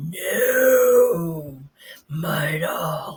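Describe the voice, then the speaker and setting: The voice is raspy. It is a put-on character voice. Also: man. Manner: angry.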